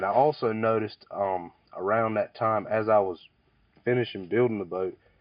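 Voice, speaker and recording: Using a normal speaking voice, a man with an American accent speaks at a fairly low pitch and a moderate pace with ordinary pitch variation. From eastern North Carolina. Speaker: commercial fisherman. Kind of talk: oral history interview answer. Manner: casual, conversational.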